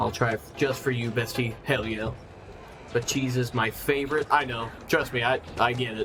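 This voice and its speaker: Amid noticeable background noise, a man at medium pitch talks at a moderate pace with monotone, flat intonation. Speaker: gaming streamer. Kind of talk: casual live stream chat. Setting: live stream. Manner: relaxed.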